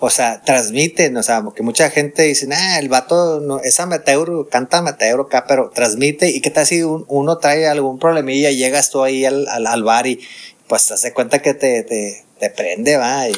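A man speaks with a fairly high pitch. There is noticeable background noise. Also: ordinary pitch variation, moderate pace. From northern Mexico. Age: 40s. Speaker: podcast host. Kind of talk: casual chat. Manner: halting.

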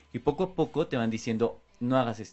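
A man with a medium pitch and ordinary pitch variation speaks at a moderate pace. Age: 20s. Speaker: radio host. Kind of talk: casual chat.

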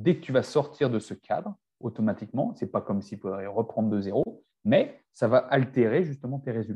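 A man speaks at a moderate pace with lively intonation, his dark, mellow tone somewhat breathy. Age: 40s. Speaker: naturopath and nutrition coach. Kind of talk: casual chat.

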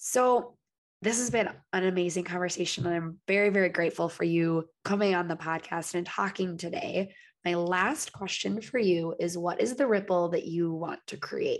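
A woman with a plain, everyday voice, medium in pitch with ordinary variation, at a moderate pace against a quiet background. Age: 30s. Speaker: podcast host. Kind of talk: casual interview chat.

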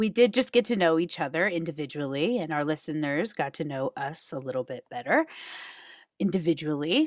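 With an American accent and an unremarkable speaking voice, a woman with a fairly low pitch talks at a fairly quick pace with lively intonation, recorded very cleanly against a silent background with a dry, close sound and no echo. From Reno, Nevada. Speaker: podcast co-host. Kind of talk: casual chat.

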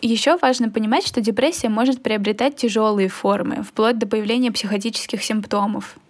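At a moderate pace, the speaker talks with hardly any pauses, very even loudness and ordinary pitch variation over noticeable background noise. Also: woman, fairly high pitch for a woman. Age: 20s. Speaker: psychology student and podcast co-host. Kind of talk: casual chat.

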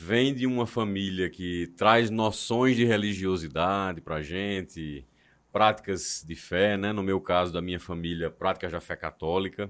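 In a very clean recording with a silent background, a man with a very deep, low pitch speaks at a fairly slow pace with ordinary pitch variation. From João Pessoa, Paraíba, northeast Brazil. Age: 30s. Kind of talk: casual chat.

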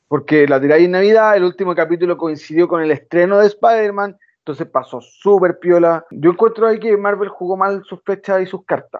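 High-pitched, a man with a Chilean accent talks at a fairly quick pace with hardly any pauses and ordinary pitch variation. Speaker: podcast co-host. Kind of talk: casual chat.

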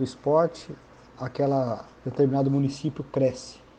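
Fairly high-pitched male voice, dark and mellow in tone, monotone and flat. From Paraná, southern Brazil. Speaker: sports federation president. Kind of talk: interview.

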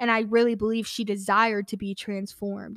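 Speaking at a fairly quick pace in a flat monotone, a woman with an American accent has a fairly high pitch, recorded very cleanly with a silent background and a dry, close sound with no echo. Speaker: podcast host, college student. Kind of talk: casual devotional talk.

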